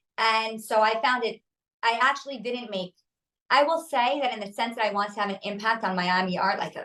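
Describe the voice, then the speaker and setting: In a New York accent, a woman talks at a fairly quick pace with a fairly high pitch. Her tone is bright and sharp, and her pitch variation is ordinary. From New York City. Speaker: artist and designer. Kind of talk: interview. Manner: fast; assertive.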